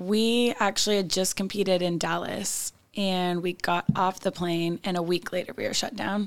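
With an American accent, a woman speaks in a normal speaking voice at a moderate pace and medium pitch, her intonation fairly even and hardly any pauses between words. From Northern California. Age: 30s. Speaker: cheerleading coach. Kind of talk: interview conversation. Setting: studio.

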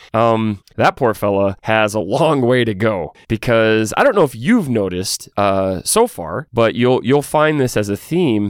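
A man with an American accent, a normal speaking voice, fairly low pitch, moderate pace, and a dry, close sound with no echo. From Texas. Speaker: podcast host. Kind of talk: podcast commentary.

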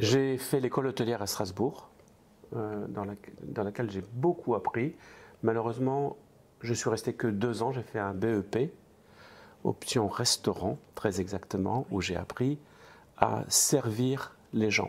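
A man talks at a very slow pace, breaking often for long pauses. His pitch sits in the middle range and varies in an ordinary way. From eastern France. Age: 60s. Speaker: restaurant franchise entrepreneur. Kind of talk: interview.

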